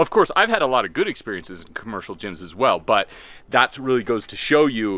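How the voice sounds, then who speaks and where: Recorded dry with no echo, a man talks at a fairly quick pace. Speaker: fitness vlogger. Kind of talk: tutorial. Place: open country. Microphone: phone near.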